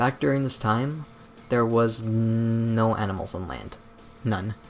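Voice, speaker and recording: With music in the background, a man of medium pitch talks fairly slowly, his pitch varying in an ordinary way. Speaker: YouTube documentary critic. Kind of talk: casual commentary video. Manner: stutters; casual, filler-heavy.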